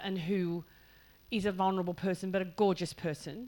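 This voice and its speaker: A woman's medium-pitched voice with an Australian accent, at a moderate pace. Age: 60s. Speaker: author. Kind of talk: panel conversation at writers festival. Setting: hall with live audience. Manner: halting, many fillers.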